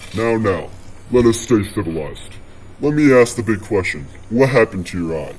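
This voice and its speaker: A man uses a put-on character voice at a medium pitch. He moves at a fairly quick pace over clear background noise. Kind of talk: podcast host. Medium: audio drama.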